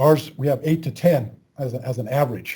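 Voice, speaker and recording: Somewhat breathy, a man with a fairly high pitch speaks in a dark, mellow tone. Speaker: university instructor. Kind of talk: lecture. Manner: fast.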